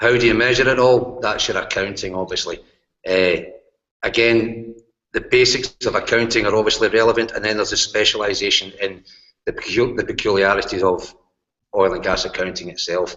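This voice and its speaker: A man in a Glasgow accent, at a fairly quick pace. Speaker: university lecturer, course leader. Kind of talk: course presentation in online hangout. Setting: video call broadcast.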